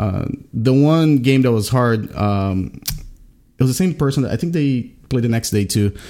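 A man with a Portuguese accent speaks at a medium pitch in a dark, mellow tone with lively intonation. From Brazil. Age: 30s. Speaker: card game streamer. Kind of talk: casual chat.

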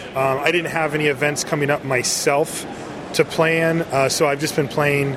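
There is noticeable background noise behind a man with an American accent. His pitch is fairly high and his intonation fairly even. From US West Coast. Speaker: card game judge. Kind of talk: casual interview.

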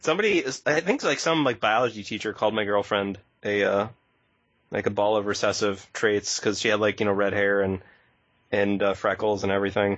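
A man talks fairly quickly with an American accent. His pitch is fairly low and his loudness very even. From United States. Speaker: podcast co-host. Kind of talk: casual chat. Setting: remote audio call. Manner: animated.

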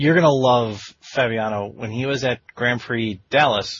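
Medium in pitch, a man speaks at a fairly slow pace with fairly even intonation. His is an unremarkable speaking voice. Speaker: interview podcast host. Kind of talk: casual interview chat.

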